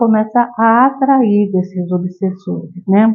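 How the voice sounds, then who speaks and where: A woman with a medium-pitched voice speaks at a very slow pace, with music in the background. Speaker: spiritist lecturer. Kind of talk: lecture. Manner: halting, many fillers.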